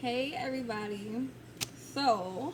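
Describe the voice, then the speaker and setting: With an American accent and lively intonation, a woman speaks at a fairly high pitch amid audible room echo and noticeable background noise. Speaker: Navy recruit vlogger. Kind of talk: casual vlog storytelling. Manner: casual, many fillers.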